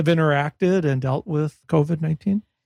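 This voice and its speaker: At a moderate pace, the speech flows along. Its tone is dark and mellow, with a somewhat breathy quality. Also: man, dry, close sound with no echo. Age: 60s. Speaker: podcast host. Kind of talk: interview.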